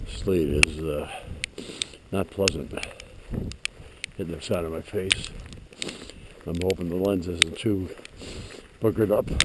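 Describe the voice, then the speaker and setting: Against noticeable background noise, a man with a very deep, low pitch speaks at a fairly slow pace with fairly even intonation and long, frequent pauses. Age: 70s. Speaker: vlogger walking his dog. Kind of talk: casual vlog monologue. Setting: outdoors. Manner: halting, many fillers.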